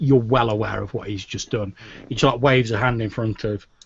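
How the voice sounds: Natural voice for reading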